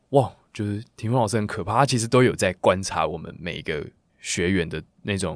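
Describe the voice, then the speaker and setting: On a very clean recording with a silent background, a man talks at a fairly quick pace in a fairly low voice. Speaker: singer. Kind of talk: interview, casual chat. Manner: animated, casual.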